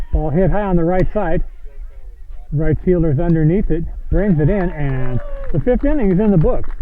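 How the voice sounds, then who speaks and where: Over noticeable background noise and an audible room echo, a man with an American accent speaks at a high pitch and very even loudness, leaving long, frequent pauses. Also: ordinary pitch variation, moderate pace. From US Midwest, St. Louis. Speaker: baseball play-by-play announcer. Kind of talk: live sports commentary. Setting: outdoors at a baseball field.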